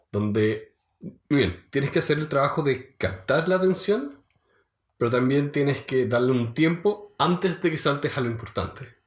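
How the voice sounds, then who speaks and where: In a Chilean accent, a man with a fairly high pitch and a somewhat breathy voice talks at a moderate pace with lively intonation. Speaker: podcast co-host. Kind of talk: casual chat.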